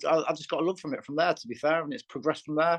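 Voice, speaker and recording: A fairly high-pitched male voice at a very fast pace, with ordinary pitch variation and a dry, close sound with no echo. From northern England, Lancashire. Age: 40s. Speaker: bare knuckle fighter. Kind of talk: interview. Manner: halting, many repetitions and fillers.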